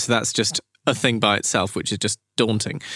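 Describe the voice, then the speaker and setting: With a southern English accent, a man speaks at a fairly quick pace. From southern England, Brighton. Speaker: period tailor. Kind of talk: interview. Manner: halting.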